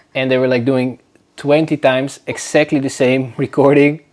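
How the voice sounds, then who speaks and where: With a Dutch accent, a man talks at a moderate pace and medium pitch in monotone, flat intonation. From northern Netherlands. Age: 20s. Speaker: podcast host. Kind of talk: casual chat. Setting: home, on a sofa. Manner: casual, hesitant.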